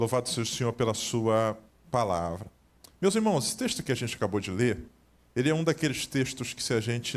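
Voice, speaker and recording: A man with a Carioca accent at medium pitch, fairly quick, with lively intonation, very clean recording and silent background. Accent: carioca (Rio de Janeiro) accent, noticeable. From Rio de Janeiro, Brazil. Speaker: pastor. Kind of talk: sermon. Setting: church service.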